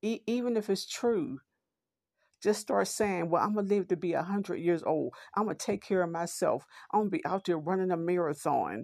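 Against a quiet background, a woman talks at a moderate pace and medium pitch, with ordinary pitch variation and very even loudness. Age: 50s. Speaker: podcast host. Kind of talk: motivational monologue. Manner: halting.

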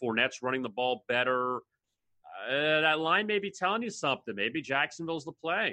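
A man talks at a fairly quick pace in an unremarkable speaking voice, fairly high in pitch, with lively intonation. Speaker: sports betting analyst. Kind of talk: casual sports betting chat.

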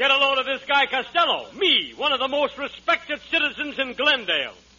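A man puts on a character voice at an extremely high pitch with big pitch swings. His tone is bright and sharp, and his pace fairly quick.

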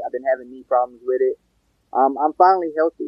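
A man speaks with an American accent. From North Carolina, Pembroke (Lumbee). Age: 20s. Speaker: mixed martial artist. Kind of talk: interview. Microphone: audio cutting out.

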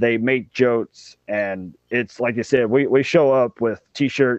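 Speaking at a fairly slow pace, a man with a Southern US accent keeps a medium pitch and fairly even intonation. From Mississippi, near Memphis. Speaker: commercial diver. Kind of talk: interview.

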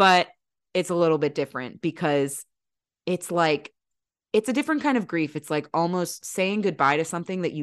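Enthusiastic and animated, a woman with a fairly low pitch and lively intonation speaks at a moderate pace against a quiet background, the sound dry and close with no echo. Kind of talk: casual banter. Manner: enthusiastic, animated.

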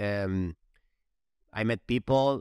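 Lively intonation marks this man's speech in a Spanish accent. The sound is dry and close with no echo, very cleanly recorded over a silent background. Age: 40s. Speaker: former gymnast. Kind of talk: interview. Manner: halting.

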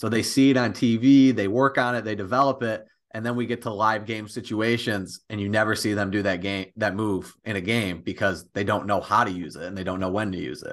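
In a plain, everyday voice, a man with an American accent talks at a fairly quick pace, with fairly low pitch and fairly even intonation over a quiet background. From Michigan, the thumb. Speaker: college basketball player. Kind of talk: casual interview.

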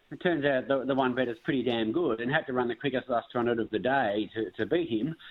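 A man's medium-pitched voice with an Australian accent, ordinary pitch variation, a fairly quick pace and hardly any pauses. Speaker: racing analyst.

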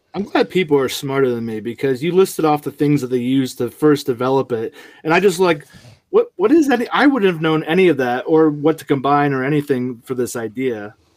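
At a fairly quick pace, a man with an ordinary speaking voice talks at a fairly high pitch with ordinary pitch variation. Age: 30s. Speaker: podcast host, father of three. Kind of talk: casual chat.

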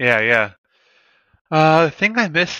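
A man talks at a fairly slow pace in a bright, sharp tone. The sound is dry and close with no echo, and the background is quiet. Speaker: consulate program coordinator, army veteran. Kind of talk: casual interview.

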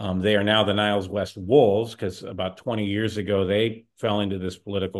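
The man speaks in a Chicago accent at a moderate pace. His voice is fairly low in pitch. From Chicago area. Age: 50s. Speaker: podcast co-host. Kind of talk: casual chat.

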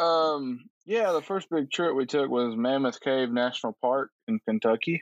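A Southern US accent at a fairly slow pace with hardly any pauses, lively intonation and very even loudness, in a dry, close sound with no echo over a quiet background. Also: man, fairly high pitch for a man. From Alabama, Tuscaloosa. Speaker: climber and social worker. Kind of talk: casual interview chat.

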